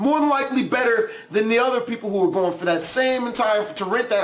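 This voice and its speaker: A man's extremely high, raised and projected voice, animated in tone with lively intonation, over noticeable background noise. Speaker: YouTube reaction video creator. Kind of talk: casual vlog commentary. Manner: loud.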